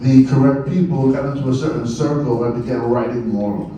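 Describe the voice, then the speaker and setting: A man's fairly high voice with an American accent, plus noticeable background noise and audible room echo. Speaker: poet and writer. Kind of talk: speech to an audience.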